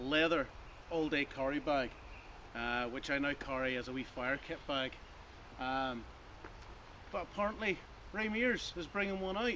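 Lively intonation carries speech at a moderate pace, broken by long, frequent pauses, with light background noise. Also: man. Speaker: outdoors vlogger. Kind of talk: casual vlog chat. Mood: jokey, self-mocking. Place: forest.

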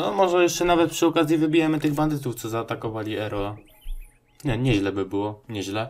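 Very fast speech from a man, with noticeable background noise behind him. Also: medium pitch for a man, lively intonation. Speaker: gaming video creator. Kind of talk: let's play commentary. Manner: casual, hesitant with fillers.

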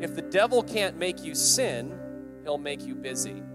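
Clear music sits in the background. Over it, a man talks at a fairly quick pace. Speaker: preacher. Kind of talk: sermon. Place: hall. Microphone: handheld.

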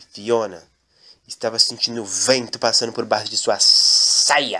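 A man talks at a fairly slow pace in an animated, playful tone. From Brazil. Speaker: comedian and gaming video creator. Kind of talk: comedic storytelling parody, narrating with character voices.

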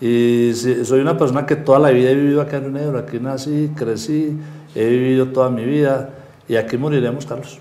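A man's medium-pitched voice, monotone and flat, at a fairly quick pace. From Colombia, Rionegro (Antioquia); Antioquia, Colombia. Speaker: local politician. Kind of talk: political interview. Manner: hesitant, many fillers. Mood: warm, friendly. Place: studio. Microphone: lapel.

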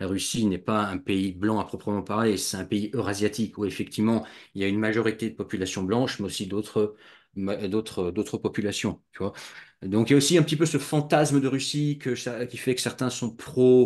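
A man's fairly low voice with ordinary pitch variation, at a moderate pace over a quiet background. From grew up abroad, outside France, until early adolescence. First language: bilingual French and Russian (speaking French). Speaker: YouTuber on expatriation. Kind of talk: casual interview; conversational discussion, opinion. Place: home room. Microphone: video call.

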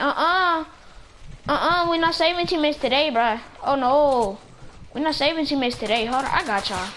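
Lively intonation marks a woman talking at a very fast pace over light background noise. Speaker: gaming YouTuber. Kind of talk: gameplay commentary. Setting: online game voice chat. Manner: animated. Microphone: headset.

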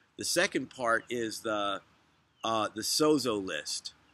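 A man's bright, sharp tone, dry with no echo, at a very slow pace with ordinary pitch variation. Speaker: religious teacher. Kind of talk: casual vlog teaching talk. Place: street. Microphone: phone near.

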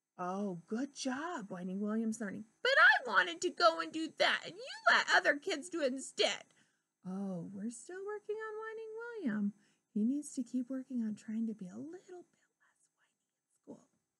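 A woman speaks in a raised, projected voice at a moderate pace. Her loudness swings widely. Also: quiet background. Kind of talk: storytelling talk to children. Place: classroom. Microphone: webcam.

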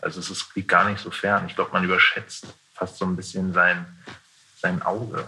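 A man talks at a moderate pace with long, frequent pauses. Light background noise is present. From Berlin area, Germany. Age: 20s. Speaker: stage actor; theatre actor. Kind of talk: casual interview. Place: stage.

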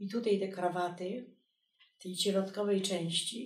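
A somewhat breathy woman speaks in a flat monotone, with audible room echo over a quiet background. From Poland. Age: 80s+. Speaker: textile artist. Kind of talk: documentary interview answer. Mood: reflective, quiet, reminiscing. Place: home room.

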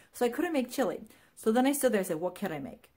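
Somewhat breathy, a woman speaks with very wide pitch swings. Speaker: vlogger. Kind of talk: casual vlog chat. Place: home room. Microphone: phone near.

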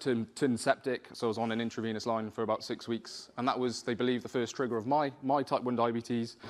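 Here a man speaks with a Welsh accent. His pace is fairly quick. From South Wales. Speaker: spoken word poet and rapper. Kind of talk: personal story told to an audience. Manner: hesitant, conversational. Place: hall.

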